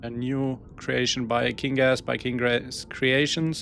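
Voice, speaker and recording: Music plays in the background as the speaker talks at a very slow pace with a German accent. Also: man. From Germany. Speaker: gaming streamer. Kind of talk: live gameplay stream. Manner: halting, searching for words.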